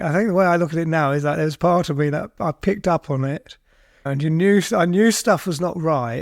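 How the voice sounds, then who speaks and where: At a fairly quick pace, a man speaks in a high pitch with ordinary pitch variation, in a dry, close sound with no echo. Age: 60s. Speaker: recovering addict. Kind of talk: interview testimony. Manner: halting.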